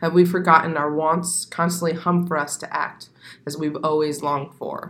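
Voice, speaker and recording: Here a woman talks with an American accent at a fairly low pitch. Her delivery is a flat monotone at a moderate pace. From US Southwest desert, Arizona. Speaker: poet. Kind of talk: casual chat; poetry reading.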